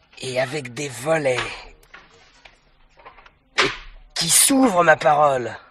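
A man puts on a character voice that is fairly high in pitch, with a fairly bright tone, a slightly husky edge, ordinary pitch variation, and a slow pace.

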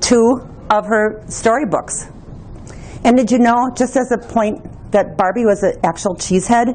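In an American accent, a woman with a fairly high pitch speaks at a fairly slow pace with long, frequent pauses, fairly even intonation and very even loudness, over noticeable background noise. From US Midwest, Wisconsin. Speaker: toy collector. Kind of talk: exhibit presentation.

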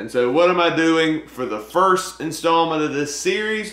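A man's voice with audible room echo. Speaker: movie vlogger. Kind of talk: casual vlog chat. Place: home room. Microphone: camera far.

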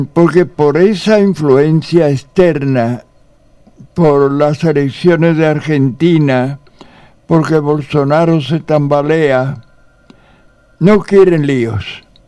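Against a quiet background, a man speaks very slowly with long, frequent pauses, his fairly high pitch showing ordinary variation. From Spain. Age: 80s+. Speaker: priest and radio host. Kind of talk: radio interview. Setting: radio studio. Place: studio. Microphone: studio mic.

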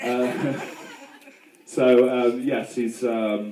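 A man with a British accent is heard with audible room echo and light background noise. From UK. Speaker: best man. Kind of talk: wedding speech. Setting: wedding reception. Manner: humorous, hesitant. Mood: joking, playful. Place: tent. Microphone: pa.

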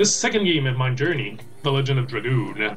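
A man talks with ordinary pitch variation while faint music sits in the background. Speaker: gamer and streamer. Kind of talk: casual gameplay commentary. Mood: proud, relaxed. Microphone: webcam.

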